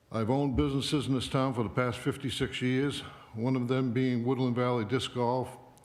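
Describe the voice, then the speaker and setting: A man speaks with audible echo from the room. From Maine, US (Limerick). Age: 70s. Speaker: local election candidate, retired professor. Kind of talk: candidate speech at town forum.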